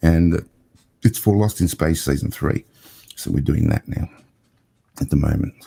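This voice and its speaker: A man's very deep, low, dark, mellow voice with an Australian accent, at a moderate pace with ordinary pitch variation and long, frequent pauses, in a dry, close sound with no echo. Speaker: cinematographer and TV producer. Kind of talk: casual interview chat.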